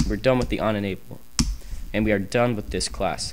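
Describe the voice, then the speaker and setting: A man talks at a medium pitch. His voice carries audible room echo. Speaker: programming tutorial youtuber. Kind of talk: tutorial. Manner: fast.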